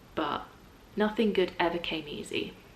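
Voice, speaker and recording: Speaking at a fairly slow pace with an English accent, a woman at a medium pitch is heard over noticeable background noise. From England. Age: 20s. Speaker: voice actor. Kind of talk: casual talk to camera.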